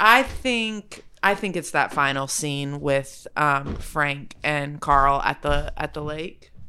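A woman with a Southern US accent speaks in a very deep, low pitch with a bright, sharp tone. Her pace is very slow, with hardly any pauses and ordinary pitch variation. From Arkansas. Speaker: actress. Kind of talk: casual chat.

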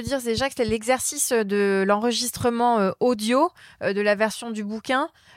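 A woman speaks in a normal speaking voice, fairly high and with fairly even intonation. The sound is dry and close with no echo, in a very clean recording with a silent background. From France, Polish family. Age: 30s. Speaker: brand strategist. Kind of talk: interview. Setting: hotel room.

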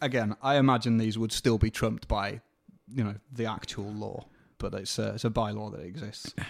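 With fairly even intonation and a moderate pace, a plain, everyday voice comes through in a very clean recording with a silent background. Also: man, fairly low pitch for a man. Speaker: podcast host. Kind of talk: casual interview chat.

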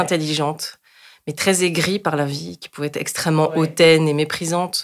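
Her voice very deep and low, the woman speaks with fairly even intonation. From France, Paris suburbs. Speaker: youth association coordinator. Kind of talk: interview.

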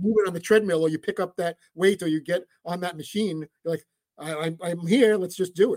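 Animated man with a high-pitched voice and a New York accent. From New York, Brooklyn. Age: 50s. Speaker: sports radio producer. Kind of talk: casual interview. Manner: fast.

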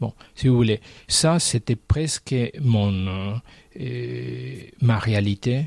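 A man speaks at a very slow pace with lively intonation. The sound is dry and close, with no echo. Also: medium pitch for a man. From Argentina. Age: 60s. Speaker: painter. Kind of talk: interview.

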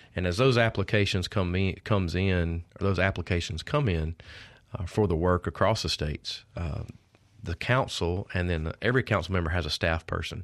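At a moderate pace, a man with a Mississippi accent and a very deep, low pitch talks with ordinary pitch variation on a very clean recording with a silent background. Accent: Mississippi Southern. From Mississippi, Oxford area. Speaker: state director of a conservation group. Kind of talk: interview.

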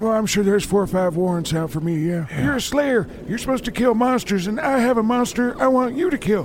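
A man puts on a character voice, pitched high and delivered at a fairly quick pace. Clear background noise is present. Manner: sarcastic, scheming, crude.

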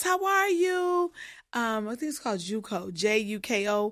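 With an American accent, a woman's bright, sharp tone moves through very wide pitch swings on a very clean recording with a silent background. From Illinois, US Midwest. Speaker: pedicurist and beauty brand founder. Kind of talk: interview. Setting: studio.

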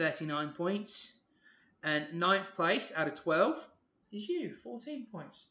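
In a raised, projected voice with a bright, sharp tone, the speaker goes very slowly with long, frequent pauses, very wide pitch swings and big swings in loudness. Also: man. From England (Ipswich, Suffolk). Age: 20s. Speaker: podcast co-host. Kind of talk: casual chat. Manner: animated.

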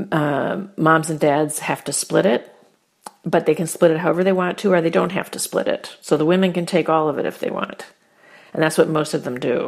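A woman's normal speaking voice, fairly low in pitch, with an American accent, a fairly quick pace and fairly even intonation. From US small town. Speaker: consultant. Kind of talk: interview.

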